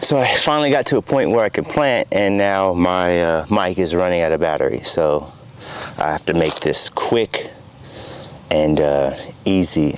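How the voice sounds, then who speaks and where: Amid noticeable background noise, a man with a very deep, low voice keeps a very even loudness, a moderate pace and lively intonation. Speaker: home cook and gardener. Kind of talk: casual talk to camera. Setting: outdoors.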